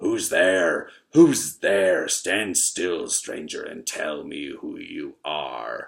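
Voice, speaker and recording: The speaker puts on a raspy, growling character voice. The pace is very slow with hardly any pauses. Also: man. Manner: menacing, demanding.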